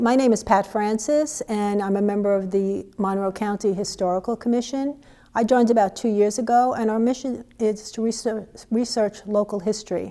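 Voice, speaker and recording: A dark, mellow tone with a New York accent, fairly even intonation and a moderate pace. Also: woman, fairly high pitch for a woman. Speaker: local history commission volunteer. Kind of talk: prepared testimonial statement. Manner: halting, with fillers.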